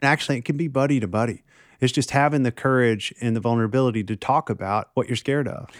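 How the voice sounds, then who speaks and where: In a very clean recording with a silent background and a dry, close sound with no echo, a man with a medium pitch talks at a very fast pace in a Tennessee accent. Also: ordinary pitch variation. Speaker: counselor. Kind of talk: casual chat.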